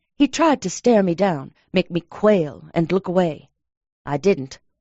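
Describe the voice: Plain reading aloud, with lively intonation, is heard against a quiet background.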